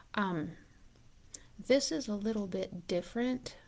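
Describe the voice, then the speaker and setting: Speaking with a Southern US accent at a fairly slow pace, this voice shows ordinary pitch variation on a very clean recording with a silent background. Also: woman. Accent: US South. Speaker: yarn shop owner. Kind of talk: live stream chat. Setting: at home, live video. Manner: soft-spoken; casual.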